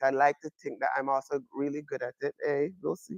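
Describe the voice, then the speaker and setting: A man speaks at fairly high pitch and a moderate pace with a Jamaican accent. The sound is dry and close with no echo. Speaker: astronomy professor. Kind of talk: public lecture. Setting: observatory with live audience.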